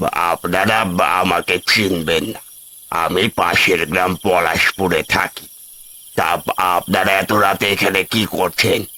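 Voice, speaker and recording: Doing a cartoonish character voice, a man growls out very deep, low, raspy lines at a fairly slow pace in a monotone, flat intonation, with a dry, close sound and no echo. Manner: halting, cryptic.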